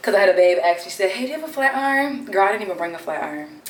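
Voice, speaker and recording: A woman with an American accent speaks at a medium pitch. Audible room echo and noticeable background noise are present. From Maryland, Baltimore. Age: 20s. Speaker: beauty content creator. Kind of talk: casual chat get-ready-with-me vlog. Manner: animated.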